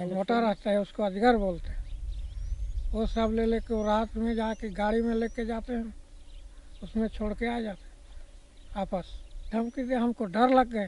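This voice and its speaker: A man speaks in a high pitch at a fairly slow pace. His intonation is monotone and flat, broken by long, frequent pauses. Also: dry sound with no echo. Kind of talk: interview answer. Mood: earnest, troubled. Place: open country.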